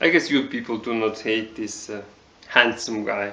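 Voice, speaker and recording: Man with a Mongolian accent. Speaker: TV show reviewer. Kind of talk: casual video review. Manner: halting, many fillers.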